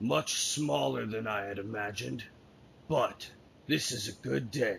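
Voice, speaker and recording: A man puts on a raspy character voice with very wide pitch swings. He keeps a moderate pace over clear background noise. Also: fairly low pitch for a man. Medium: actual play. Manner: dry, confident.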